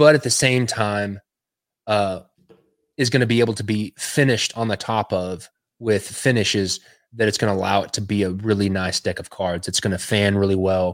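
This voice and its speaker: With a Texan accent, a man with a fairly low voice talks at a moderate pace and fairly even intonation on a very clean recording with a silent background. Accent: Texan American. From West Texas. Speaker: illustrator and designer. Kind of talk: casual interview chat. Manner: halting, many fillers.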